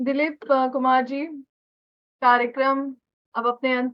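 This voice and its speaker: A woman is speaking. She has a Bihar accent. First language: Maithili (speaking Hindi). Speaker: radio interviewer. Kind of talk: interview.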